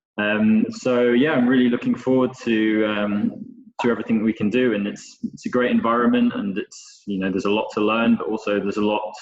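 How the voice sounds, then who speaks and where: The speaker has a British accent and keeps a moderate pace. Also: man. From Scotland and northern England. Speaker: chef instructor. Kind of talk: webinar presentation.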